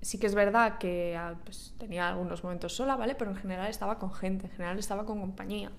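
A woman with a Spanish accent speaks at a medium pitch and a moderate pace. Room echo is audible. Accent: Peninsular Spanish. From Spain. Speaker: podcaster. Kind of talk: casual monologue. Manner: animated; hesitant fillers.

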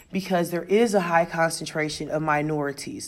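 A woman speaks at a moderate pace with an American accent. Her pitch is fairly low and her intonation fairly even. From US Midwest. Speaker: teacher. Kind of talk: podcast monologue, reflective talk. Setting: recorded at school, announcements in background. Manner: loud, carries well.

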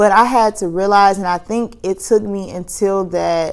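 Her pitch is medium, and the woman speaks in a monotone, flat intonation. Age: 30s. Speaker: podcast host. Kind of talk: casual solo monologue. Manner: conversational with frequent fillers.

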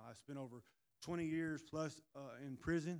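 A man with an American accent and fairly even intonation. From Indiana. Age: 50s. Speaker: former prisoner. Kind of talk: testimony. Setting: church.

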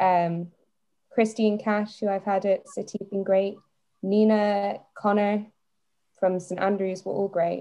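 A woman's dark, mellow voice with a Scottish accent, monotone and flat, at a fairly slow pace with long, frequent pauses. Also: medium pitch for a woman. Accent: Scottish, Edinburgh. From Edinburgh, Scotland. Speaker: korfball player. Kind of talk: casual interview chat.

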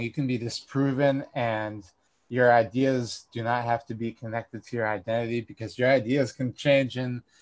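A man's normal speaking voice at medium pitch, moderate pace, and fairly even intonation. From US Northeast, Northampton, Massachusetts. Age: 20s. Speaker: political convert, coworker of host. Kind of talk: casual chat.

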